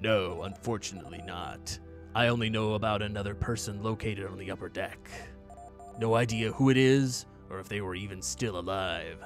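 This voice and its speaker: Over clear music in the background, a man puts on a character voice at a fairly low pitch. He talks at a fairly quick pace, with big swings in loudness. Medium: game stream. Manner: calm, practical.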